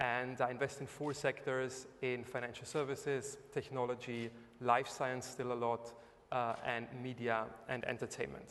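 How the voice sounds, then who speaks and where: A man with a German accent talks at a moderate pace and medium pitch in a monotone, flat intonation. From Germany. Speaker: investor, entrepreneur. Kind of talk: panel talk. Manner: hesitant, many fillers.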